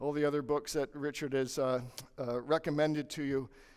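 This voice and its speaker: Recorded very cleanly against a silent background, a man speaks with a normal speaking voice. His pitch is fairly high and his pace moderate. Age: 60s. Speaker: lawyer and legal marketing coach. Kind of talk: conference presentation. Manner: conversational with frequent fillers.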